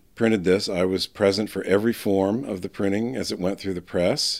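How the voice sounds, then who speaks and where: A man with an American accent speaks in a normal speaking voice at a fairly low pitch, moving at a moderate pace with ordinary pitch variation. The recording is very clean, with a silent background. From US New England (New Hampshire). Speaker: biographer and book designer. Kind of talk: interview. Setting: conference recording.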